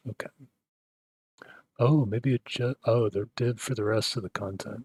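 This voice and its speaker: A man's calm, soothing tone comes through somewhat breathy, with a dry, close sound and no echo. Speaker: tech hobbyist video creator. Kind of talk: screen-recorded coding tutorial. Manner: low-key, few inflections.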